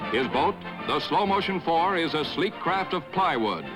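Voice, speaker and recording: A man's fairly high-pitched voice over music in the background. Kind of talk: newsreel narration.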